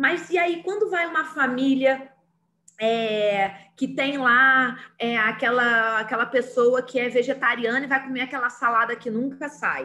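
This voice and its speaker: A woman projects a raised voice at a high pitch with a bright, sharp tone. She speaks at a fairly slow pace. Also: ordinary pitch variation. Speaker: teacher. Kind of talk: online lecture.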